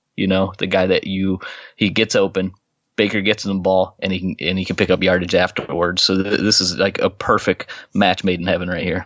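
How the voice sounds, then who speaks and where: In monotone, flat intonation, a man talks at a fairly quick pace with a very deep, low pitch. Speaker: sports podcast host. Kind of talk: casual chat. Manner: speaking low.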